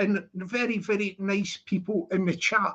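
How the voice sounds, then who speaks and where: Speaking with a Scottish accent, a man uses an animated tone, a high pitch and a moderate pace. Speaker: livestreamer. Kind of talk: casual livestream chat. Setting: livestream.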